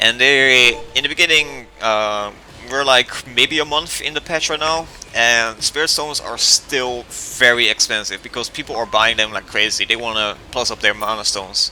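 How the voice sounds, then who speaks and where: Noticeable background noise sits under a man speaking at a moderate pace, his medium pitch showing ordinary variation. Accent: non-native. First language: not English. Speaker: gaming youtuber. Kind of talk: gameplay tutorial commentary. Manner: casual, with many fillers.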